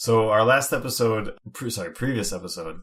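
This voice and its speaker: Noticeable background noise under a man's moderately paced speech. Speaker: podcast co-host. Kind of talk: casual chat.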